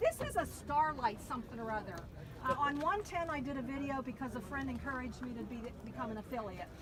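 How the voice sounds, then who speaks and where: A woman with an American accent talks at a very fast pace with a high pitch, an animated tone and ordinary pitch variation. Audible room echo and noticeable background noise surround her. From Pennsylvania, near Pittsburgh. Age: 60s. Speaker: car dweller, traveling saleswoman. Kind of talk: casual show-and-tell tour.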